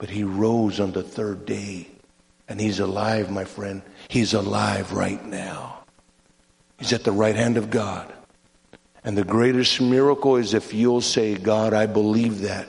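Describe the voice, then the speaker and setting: A man's fairly low, monotone, flat delivery at a fairly slow pace, with long, frequent pauses and audible room echo. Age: 60s. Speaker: evangelist. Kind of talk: sermon.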